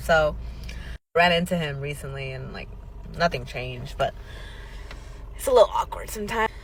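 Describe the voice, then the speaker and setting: The speaker is a woman. Her tone is animated. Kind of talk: storytelling vlog.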